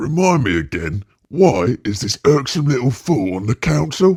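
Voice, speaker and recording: A man puts on a character voice at a medium pitch. His pitch swings very widely at a moderate pace. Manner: irritated.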